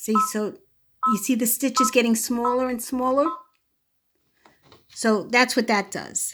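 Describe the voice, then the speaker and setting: A woman in a Brooklyn accent, high-pitched, fairly slow and fairly even in intonation, with long, frequent pauses. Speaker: sewing channel creator. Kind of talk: tutorial. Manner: casual, hesitant with fillers.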